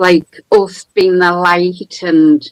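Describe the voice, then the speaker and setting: In a County Durham accent, a woman with medium pitch talks at a very slow pace with fairly even intonation, the sound dry and close with no echo. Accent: northern English (County Durham). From northern England, County Durham. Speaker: caller. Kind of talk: testimony.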